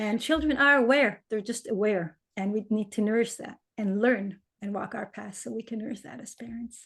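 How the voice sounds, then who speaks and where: A woman speaks in a fairly high voice with ordinary pitch variation. Her pace is moderate, with big swings in loudness. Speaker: shamanic energy healer and writer. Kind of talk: interview conversation. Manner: halting.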